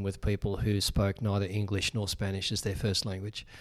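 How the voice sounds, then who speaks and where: The man's voice is fairly low. He talks in an Australian accent. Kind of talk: interview discussion. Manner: hesitant, filler-heavy.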